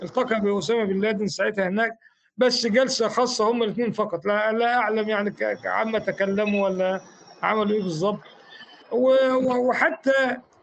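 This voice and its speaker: At a moderate pace, a man speaks with a high pitch, fairly even intonation and very even loudness. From Egypt, Fayoum. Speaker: former Islamist activist. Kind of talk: interview. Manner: halting, repeats words.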